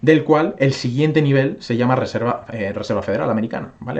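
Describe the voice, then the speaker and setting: A man talks at a very fast pace. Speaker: crypto YouTuber. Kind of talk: casual video commentary, market analysis. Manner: filler-heavy, frequent ¿vale? and hesitations.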